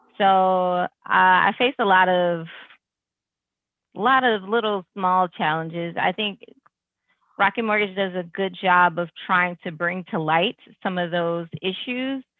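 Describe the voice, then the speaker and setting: A woman's medium pitch with ordinary variation, a fairly slow pace and long, frequent pauses. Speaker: tech leader and entrepreneur. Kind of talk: webinar panel answer.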